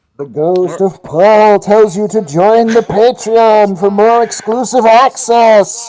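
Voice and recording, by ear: Hardly pausing, a put-on character voice at fairly high pitch moves along at a fairly slow pace.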